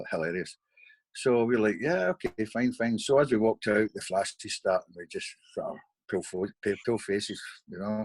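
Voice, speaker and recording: A man with a Scottish accent speaks at a moderate pace and medium pitch with ordinary pitch variation, the recording very clean with a silent background and a dry, close sound with no echo. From Scotland. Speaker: bodyguard. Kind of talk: interview answer. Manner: casual, conversational.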